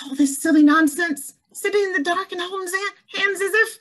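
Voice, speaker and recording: A woman speaks at a fairly quick pace in a squeaky, put-on character voice with an extremely high pitch. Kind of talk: 1940s radio acting. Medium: audio drama. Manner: skeptical, impatient.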